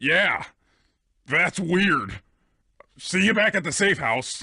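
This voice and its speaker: Using a put-on character voice pitched high, a man speaks at a very slow pace over a quiet background. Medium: video game.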